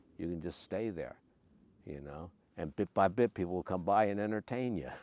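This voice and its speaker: At a fairly quick pace, a man speaks with a very deep, low pitch. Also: ordinary pitch variation. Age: 70s. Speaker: long-distance hiker. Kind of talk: interview. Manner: halting, many fillers.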